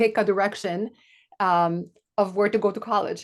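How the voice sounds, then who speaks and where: With a Polish accent, a woman speaks at a medium pitch. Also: quiet background. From Poland. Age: 40s. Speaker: podcast co-host. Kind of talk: casual chat.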